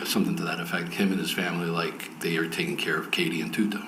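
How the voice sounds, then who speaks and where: A man talks at a fairly quick pace. Noticeable background noise and audible room echo surround him. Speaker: undercover agent witness. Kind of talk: court testimony. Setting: courtroom.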